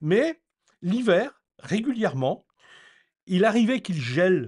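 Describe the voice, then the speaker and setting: At a very slow pace, a man speaks in a high pitch with very wide pitch swings. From France, Normandy (rural). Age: 60s. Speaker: eco-renovation educator. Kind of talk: informal explanatory talk. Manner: hesitant, many fillers.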